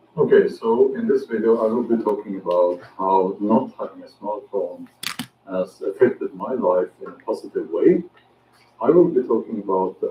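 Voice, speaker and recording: Against noticeable background noise, a man with a Norwegian accent talks at a moderate pace. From Norway. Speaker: outdoor vlogger. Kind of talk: casual vlog monologue. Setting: outdoors in woods. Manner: halting, many fillers.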